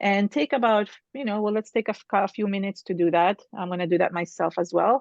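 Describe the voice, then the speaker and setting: Against a quiet background, a woman with a plain, everyday voice talks at a moderate pace and medium pitch with ordinary pitch variation and a dry, close sound with no echo. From Canada. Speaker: art teacher. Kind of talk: tutorial.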